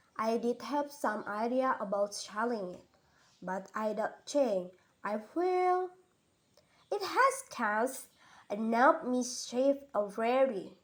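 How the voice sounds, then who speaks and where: A gruff, put-on character voice moves at a fairly slow pace, with big swings in loudness. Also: woman, high pitch for a woman. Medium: read story. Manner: solemn, gruff.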